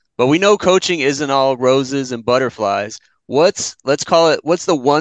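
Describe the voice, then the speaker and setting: A man with a plain, everyday voice speaks at a medium pitch and moderate pace with ordinary pitch variation. The background is quiet, and the sound is dry and close with no echo. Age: 40s. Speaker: podcast co-host. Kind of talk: casual chat.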